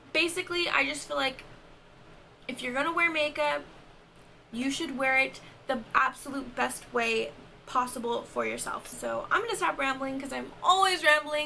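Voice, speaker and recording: Against noticeable background noise, a woman projects a raised, high-pitched voice at a moderate pace, with ordinary pitch variation and long, frequent pauses. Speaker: makeup artist and beauty vlogger. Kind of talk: tutorial. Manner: casual, chatty.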